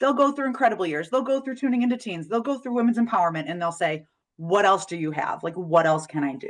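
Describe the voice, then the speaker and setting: Against a quiet background, a woman with an American accent talks at a very fast pace. Her medium pitch moves in very wide swings. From United States. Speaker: parenting educator and webinar presenter. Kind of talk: webinar presentation. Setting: online webinar.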